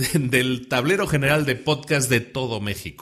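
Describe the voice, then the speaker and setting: A man is speaking. His pace is fairly slow. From Spain. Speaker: podcast host. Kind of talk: podcast monologue.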